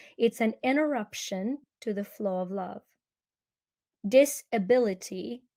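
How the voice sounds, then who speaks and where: With a Ukrainian accent, a woman speaks fairly slowly at medium pitch with ordinary pitch variation. Her tone is dark and mellow, and the sound is dry and close with no echo. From Ukraine. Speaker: energy healer and speaker. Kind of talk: interview.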